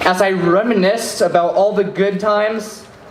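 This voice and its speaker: A man speaks at a moderate pace in a high voice with ordinary pitch variation, over noticeable background noise. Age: young. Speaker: student activist. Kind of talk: rally speech.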